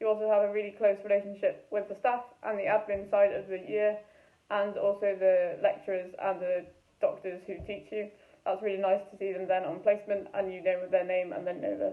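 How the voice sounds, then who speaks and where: In a Welsh accent, a woman talks at a fairly quick pace, her loudness swinging widely. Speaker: medical student. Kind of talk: student testimonial.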